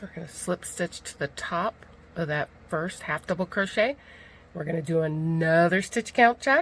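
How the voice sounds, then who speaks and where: A woman speaks at a fairly low pitch in a somewhat breathy voice. Her loudness swings widely. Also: ordinary pitch variation, moderate pace. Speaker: crochet instructor. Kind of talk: tutorial.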